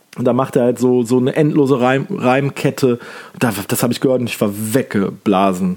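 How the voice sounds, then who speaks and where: Animated in tone, a man talks at a moderate pace. His pitch sits in the medium range. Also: ordinary pitch variation. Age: 30s. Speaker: podcast host. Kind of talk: casual monologue.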